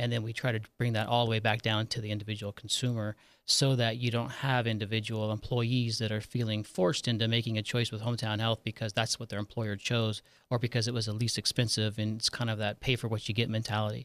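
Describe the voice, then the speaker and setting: A man talks at a very fast pace with hardly any pauses, in an American accent and a medium pitch. His intonation is monotone and flat, and the very clean recording has a silent background and a dry, close sound with no echo. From Nevada, US (Virginia City). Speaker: health insurance executive. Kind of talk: interview. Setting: studio.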